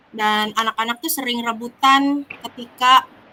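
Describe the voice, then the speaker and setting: A woman's bright, sharp tone at a fairly high pitch, fairly even in intonation and fairly slow in pace. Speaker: teacher (role-play coachee). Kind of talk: role-play coaching conversation. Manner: hesitant, many fillers.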